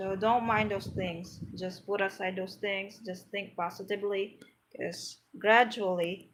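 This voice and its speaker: In a Filipino accent, a woman speaks at a fairly slow pace with monotone, flat intonation. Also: medium pitch for a woman. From Philippines, Pangasinan. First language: Pangasinan. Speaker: vlogger teaching spoken English. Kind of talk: live stream talk to viewers. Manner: halting, with fillers.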